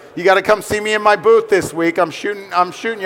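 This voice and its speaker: A man's high-pitched voice at a very fast pace, with noticeable background noise. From New York. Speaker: headshot photographer. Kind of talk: interview at trade fair stage. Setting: stage with audience at trade fair.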